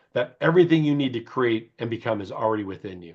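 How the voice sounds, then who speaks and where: A man with an American accent and medium pitch talks in an ordinary speaking voice. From US Midwest, Chicago. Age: 60s. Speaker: beauty company founder. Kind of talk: interview.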